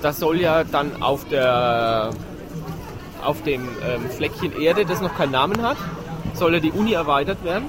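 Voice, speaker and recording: Amid crowd noise and audible room echo, a man with a Franconian accent and fairly high pitch speaks with long, frequent pauses. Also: lively intonation, fairly slow pace. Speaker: podcast co-host. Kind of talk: casual chat. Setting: outdoors at a Christmas market.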